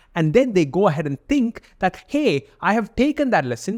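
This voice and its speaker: His pitch swings very widely as a man talks in a dry, close sound with no echo. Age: 20s. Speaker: art podcast host. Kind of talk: solo podcast monologue. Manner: casual, conversational.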